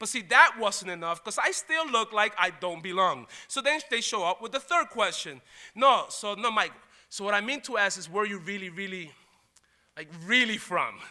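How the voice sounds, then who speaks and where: An animated man speaks in a raised, projected voice with lively intonation at a moderate pace. His high pitch carries a bright, sharp tone. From Puerto Rico and New York. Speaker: college diversity dean. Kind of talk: lecture.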